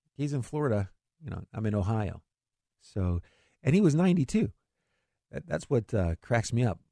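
Very fast speech in a dark, mellow tone, with dry, close sound and no echo. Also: man. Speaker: financial radio host. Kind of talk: radio talk show about investing. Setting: radio studio broadcast. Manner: fast talker, excitable.

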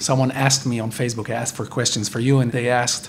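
A man with an Israeli accent, medium pitch and fairly even intonation, talking very fast over noticeable background noise. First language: Hebrew. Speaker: podcast host interviewer. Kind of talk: interview. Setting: hotel interview.

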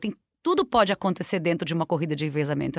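A woman rattles along very fast, her intonation lively. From southern Brazil, Rio Grande do Sul. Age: 50s. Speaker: marathon runner and sports marketing specialist. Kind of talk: casual interview.

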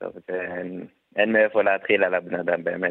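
Here a man is speaking. His pace is fairly slow. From Samaria, West Bank. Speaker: wounded soldier. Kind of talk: testimony.

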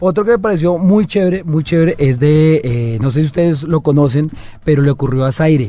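Keeping his loudness very even, a man speaks at a fairly quick pace with a fairly high pitch, a dark, mellow tone and ordinary pitch variation. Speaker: podcast co-host. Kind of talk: casual chat.

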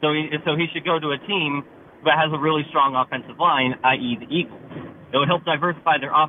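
A man talks at a very fast pace with a fairly high pitch and fairly even intonation. Noticeable background noise runs underneath. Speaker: caller. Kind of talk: radio call-in. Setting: phone call, in a car. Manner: halting.

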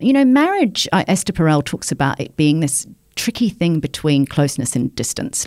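A woman with a New Zealand accent, very deep, low pitch and moderate pace, on a very clean recording with a silent background. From New Zealand, provincial town. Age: 50s. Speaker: journalist. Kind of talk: interview conversation.

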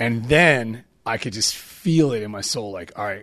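A man's medium-pitched voice with lively intonation against a quiet background. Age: 40s. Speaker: skate ministry founder. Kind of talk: casual interview storytelling.

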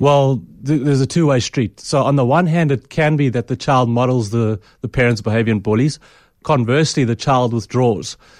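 Against a quiet background, a man with a plain, everyday voice talks at a fairly quick pace, keeping medium pitch, ordinary pitch variation and very even loudness. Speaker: clinical psychologist. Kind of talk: radio interview. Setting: studio.

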